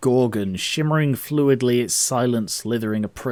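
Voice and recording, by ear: Ordinary pitch variation in reading aloud in a natural voice.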